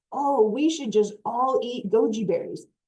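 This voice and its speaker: In an animated tone, a woman with a fairly high pitch speaks at a fairly slow pace. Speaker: Ayurvedic doctor. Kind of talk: interview conversation.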